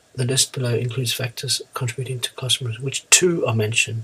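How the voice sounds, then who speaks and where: A fairly level tone heard through noticeable background noise. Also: man. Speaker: IELTS teacher. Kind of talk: tutorial.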